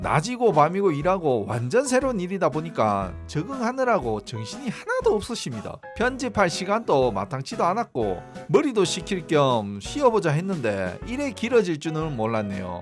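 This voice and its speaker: Music plays in the background as a man talks at a moderate pace with hardly any pauses, his high pitch making very wide swings. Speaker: amateur road cyclist, video creator. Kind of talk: casual talk to camera.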